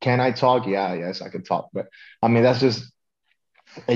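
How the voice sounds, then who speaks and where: Against a quiet background, a man talks at a fairly quick pace. His intonation is fairly even. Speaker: pro wrestler. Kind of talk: casual interview. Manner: laid-back. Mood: laid back, confident. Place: home room. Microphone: video call.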